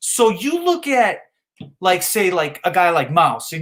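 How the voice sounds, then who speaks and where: Loud and shouting, a man's voice fills the clip. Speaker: live streamer. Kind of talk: heated rant. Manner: loud, yelling; slow.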